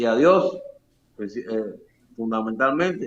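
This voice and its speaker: Very wide pitch swings run all through this man's speech. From Cuba, Camagüey. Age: 70s. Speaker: boxing coach and physical education teacher. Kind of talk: interview.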